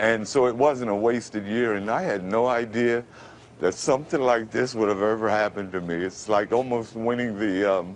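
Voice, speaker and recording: A man speaks in a New York accent with ordinary pitch variation. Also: moderate pace. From Brooklyn, New York. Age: 50s. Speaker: radio announcer. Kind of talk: TV interview answer.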